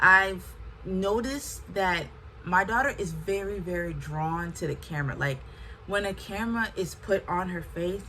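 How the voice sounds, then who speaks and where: A woman with a medium-pitched voice speaks at a moderate pace with ordinary pitch variation, with audible room echo. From US. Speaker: lifestyle vlogger. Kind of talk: casual talk to camera.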